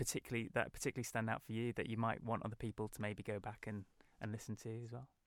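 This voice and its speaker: A man with a British accent and a medium-pitched voice, recorded dry and close with no echo. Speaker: podcast host. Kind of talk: interview. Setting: studio.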